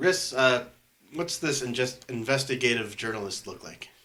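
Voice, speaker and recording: In a put-on character voice, a man sounds raspy. He keeps a medium pitch with ordinary variation and a moderate pace. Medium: actual play.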